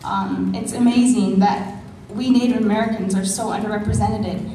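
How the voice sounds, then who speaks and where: A woman's medium-pitched voice with fairly even intonation, set against noticeable background noise and audible room echo. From Navajo Nation, Arizona. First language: Navajo. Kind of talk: conference panel speech. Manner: halting, many fillers.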